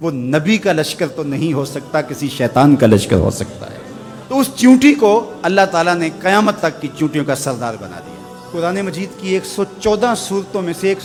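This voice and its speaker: A man talks at a high pitch with big swings in loudness. Music plays in the background. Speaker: Islamic preacher giving a sermon. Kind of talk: religious sermon (bayan), passionate preaching.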